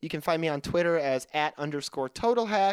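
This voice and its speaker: He has an unremarkable speaking voice. The man's pitch sits fairly high. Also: dry, close sound with no echo. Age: 20s. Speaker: podcast co-host. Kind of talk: casual chat. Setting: remote call.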